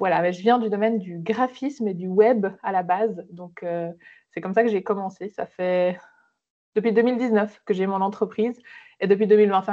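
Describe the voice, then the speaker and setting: With a medium pitch and fairly even intonation, a woman talks at a fairly quick pace, her loudness swinging widely. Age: 30s. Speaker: social media entrepreneur. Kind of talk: podcast interview. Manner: hesitant, many fillers.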